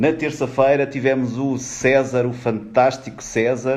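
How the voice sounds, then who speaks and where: A man with a European Portuguese accent speaks very slowly at medium pitch, with audible room echo. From Portugal. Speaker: HR executive, live-stream speaker. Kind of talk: live stream greeting viewers. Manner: animated.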